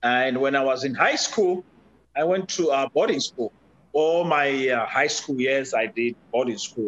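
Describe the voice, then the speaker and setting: This man, speaking with a Zimbabwean accent, talks at a fairly slow pace with a fairly high pitch and ordinary pitch variation. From Zimbabwe, rural. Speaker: podcast guest, father. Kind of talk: interview conversation. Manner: halting, many fillers.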